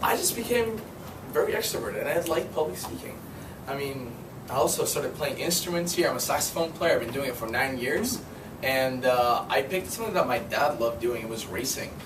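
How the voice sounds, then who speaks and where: Talking at a fairly quick pace, a man uses a fairly high pitch with very wide pitch swings. Noticeable background noise and audible room echo are present. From Uruguay, then raised in US. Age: 19. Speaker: university student. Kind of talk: icebreaker speech. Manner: casual, filler-heavy.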